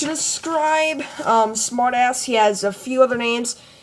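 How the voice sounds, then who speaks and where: A woman speaks in a high voice with very wide pitch swings, and noticeable background noise sits behind her. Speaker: fan fiction vlogger. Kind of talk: casual monologue. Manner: halting, many fillers.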